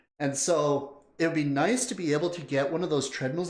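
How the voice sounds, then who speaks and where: A man with a Canadian accent and fairly high pitch, animated in tone, at a moderate pace amid audible room echo. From Canada. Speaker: music video reactor, streamer. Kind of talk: casual livestream chat.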